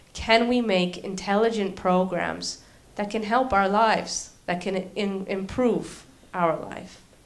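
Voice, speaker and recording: A woman speaks with a Canadian accent and fairly even intonation. Audible echo fills the room. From Canada. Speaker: university lecturer and robotics researcher. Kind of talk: lecture.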